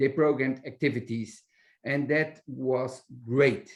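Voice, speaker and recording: A man with a Dutch accent, fairly high pitch and a very slow pace. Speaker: library director. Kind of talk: webinar interview. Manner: halting, many hesitations.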